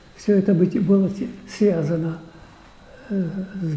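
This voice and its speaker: A high-pitched male voice with fairly even intonation over noticeable background noise. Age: 80s+. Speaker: archaeologist. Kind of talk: public talk, reminiscing.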